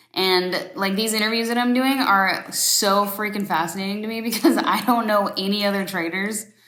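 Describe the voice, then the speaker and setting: Amid noticeable background noise and audible room echo, a woman with an American accent and a medium pitch speaks at a fairly quick pace. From Florida. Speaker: interviewer, trader. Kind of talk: casual interview chat.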